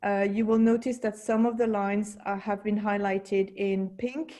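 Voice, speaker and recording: A woman with a French accent and a dark, mellow tone, at medium pitch, with monotone, flat intonation and a moderate pace. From France. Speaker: school technology specialist. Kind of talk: online meeting presentation. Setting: video call. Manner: halting.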